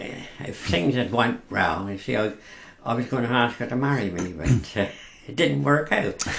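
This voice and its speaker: A man with a rural Berkshire accent, medium pitch, very wide pitch swings and a moderate pace. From Lambourn, West Berkshire, England. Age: 80s+. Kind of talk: radio interview answer. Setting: studio.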